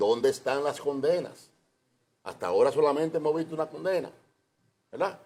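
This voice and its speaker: A man with a fairly high pitch and a dark, mellow tone talks at a fairly quick pace with ordinary pitch variation and long, frequent pauses. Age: 70s. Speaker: politician. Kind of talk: TV interview.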